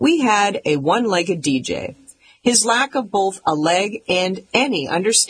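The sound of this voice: It is an unforced reading voice. The intonation is lively.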